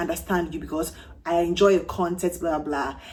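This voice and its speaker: Vocal fry runs through a woman's fairly low-pitched voice, which has ordinary pitch variation. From Ghana. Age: 30s. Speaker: fragrance youtuber. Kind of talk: casual vlog review.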